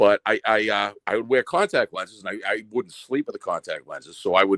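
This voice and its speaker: At a fairly quick pace, a man speaks with an American accent on a very clean recording with a silent background and a dry, close sound with no echo. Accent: Boston accent, comes out when emotional. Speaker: listener telling a personal story. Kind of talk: casual storytelling chat. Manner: halting, repeats words.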